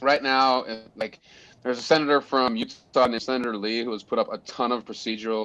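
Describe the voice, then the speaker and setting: With an American accent and an unremarkable speaking voice, a man talks at a moderate pace and medium pitch with fairly even intonation. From Montana. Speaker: conservation group leader. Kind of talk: podcast interview.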